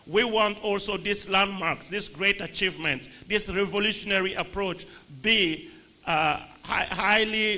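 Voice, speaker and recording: A man with a high, bright and sharp voice projects loudly in a room with audible echo. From Republic of the Congo. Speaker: international organization official. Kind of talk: goodwill speech at a conference. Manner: halting, with many fillers and restarts.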